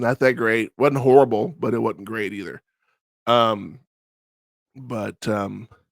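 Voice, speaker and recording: Very slowly and with long, frequent pauses, a man speaks at medium pitch with big swings in loudness, the sound dry and close with no echo. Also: ordinary pitch variation. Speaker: wrestling podcast host. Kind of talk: casual review monologue. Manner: hesitant, many fillers.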